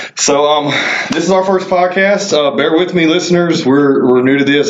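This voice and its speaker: A man with a Southern US accent, audible room echo around him. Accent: Southern drawl. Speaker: podcast host, marketing professional. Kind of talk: casual chat.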